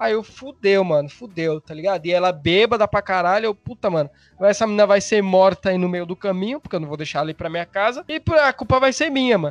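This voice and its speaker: Talking at a very fast pace with hardly any pauses, a man uses a high voice with lively intonation, recorded dry and close with no echo. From Brazil, São Paulo. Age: 20s. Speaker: podcaster and meme page owner. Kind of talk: casual chat.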